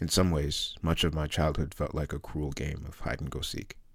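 Speaking at a moderate pace, a man with a very deep, low pitch and vocal fry keeps his intonation fairly even. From London, England. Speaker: memoir author. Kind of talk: reading aloud.

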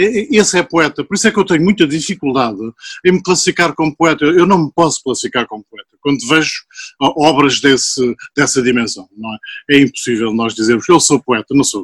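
A man with a normal speaking voice talks at a fairly quick pace, his pitch fairly high and his intonation lively. The sound is dry and close, with no echo. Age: 60s. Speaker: chemical engineer and poet. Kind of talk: casual chat.

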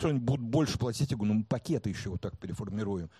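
A man's dark, mellow voice carries lively intonation and sounds somewhat breathy. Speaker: marketing director. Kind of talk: talk before a live audience.

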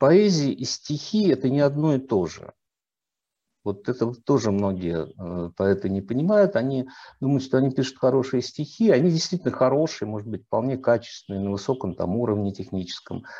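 A man at a medium pitch and moderate pace, dark and mellow in tone, with very wide pitch swings against a quiet background. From Russia, Volgograd. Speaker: writer and literary critic. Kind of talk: interview.

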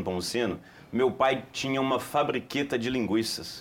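At a moderate pace, a man talks in a plain, everyday voice at a medium pitch. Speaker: company commercial director. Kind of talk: TV studio interview.

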